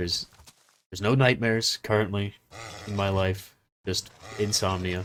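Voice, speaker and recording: Keeping a fairly low pitch and fairly even intonation, a man talks at a moderate pace with long, frequent pauses. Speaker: gaming youtuber. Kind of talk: gameplay commentary. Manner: monotone; halting.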